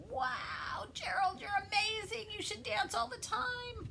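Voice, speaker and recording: Shouting in a put-on character voice at an extremely high pitch, a woman speaks at a fairly slow pace over clear background noise. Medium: read story.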